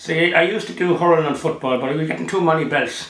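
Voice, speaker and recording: A man speaks at a very fast pace in a Meath Irish accent. Room echo is audible. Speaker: retired runner, former Olympian. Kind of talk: interview reminiscence. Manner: halting.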